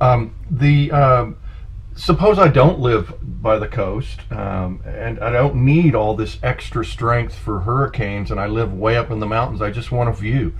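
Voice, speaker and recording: A man talks at a fairly slow pace in a room with audible echo. Noticeable background noise runs under his voice. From San Francisco. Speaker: podcast host. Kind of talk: interview. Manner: halting.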